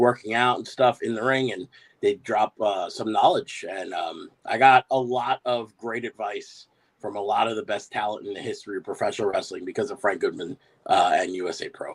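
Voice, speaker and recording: Recorded in a dry, close sound with no echo, a man with an American accent speaks at a moderate pace. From New York, Bay Ridge, Brooklyn. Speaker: professional wrestler. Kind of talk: casual interview.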